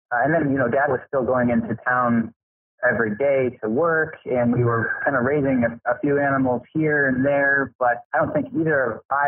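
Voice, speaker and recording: A man talks with a Midwestern American accent. His voice is medium in pitch and his pace is moderate. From rural Indiana. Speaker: farmer. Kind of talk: interview.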